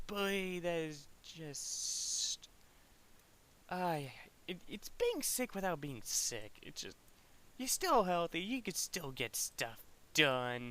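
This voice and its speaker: A man's high-pitched voice, very slow pace and very wide pitch swings. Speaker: gaming streamer. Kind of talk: casual live stream commentary. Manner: halting, self-correcting.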